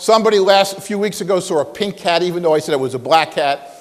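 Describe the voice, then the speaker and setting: Over noticeable background noise, a man with an American accent talks at a fairly quick pace, high in pitch, with ordinary pitch variation. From New York. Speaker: guest speaker at business school. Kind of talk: talk to students with audience questions.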